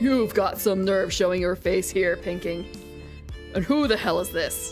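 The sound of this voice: Over clear background music, a put-on character voice at middle pitch moves at a moderate pace.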